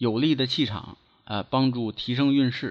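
A man is speaking. He has a slight Beijing accent. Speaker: feng shui and divination teacher. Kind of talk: solo lecture podcast. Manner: measured, filler-heavy (呢).

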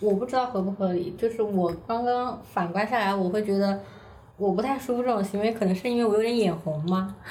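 With a Hunan accent, a woman speaks at medium pitch and a fairly quick pace in very even loudness, with audible room echo. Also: ordinary pitch variation. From China, Hunan. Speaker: staff writer. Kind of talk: casual chat.

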